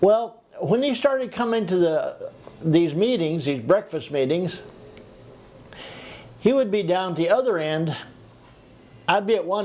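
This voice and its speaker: A man with an American accent and a high pitch, at a moderate pace. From California. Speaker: retired expat vlogger. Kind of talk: casual monologue vlog. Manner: halting, with fillers.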